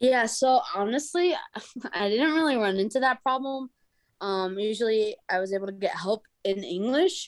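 A woman's fairly high pitch with lively intonation at a moderate pace, in an unremarkable speaking voice. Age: 30s. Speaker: professor and travel documentary creator. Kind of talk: interview.

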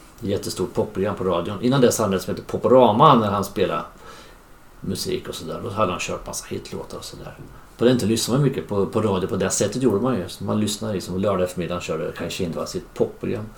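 A man with a fairly low pitch and ordinary pitch variation talks at a very fast pace over noticeable background noise. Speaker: podcast host. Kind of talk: casual family conversation.

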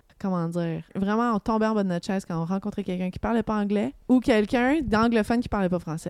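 This is a woman with an ordinary speaking voice at a medium pitch. Her intonation is lively. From Montreal area, Quebec. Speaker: singer-songwriter. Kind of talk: casual interview chat.

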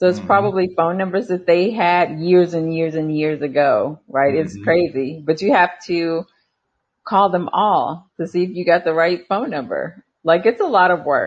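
The woman has an unremarkable speaking voice, fairly low in pitch with ordinary pitch variation, and she moves at a moderate pace. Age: 50s. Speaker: real estate wholesaler and former life coach. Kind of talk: casual chat.

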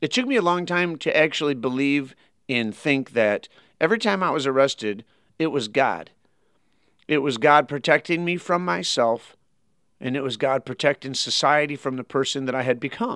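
A man talks with a Michigan accent in a fairly high pitch and lively intonation. The sound is dry and close with no echo, on a very clean recording with a silent background. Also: moderate pace. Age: 40s. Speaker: pastor. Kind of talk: interview.

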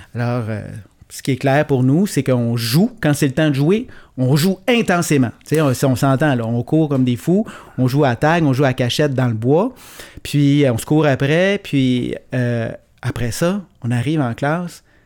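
Fairly slow and fairly high-pitched, a man talks in an unremarkable speaking voice with ordinary pitch variation. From Quebec, Gaspésie. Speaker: teacher turned entrepreneur. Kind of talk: casual chat.

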